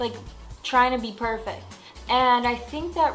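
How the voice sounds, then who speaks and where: Music plays in the background as a woman speaks. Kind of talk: casual talk to camera. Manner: casual, chatty.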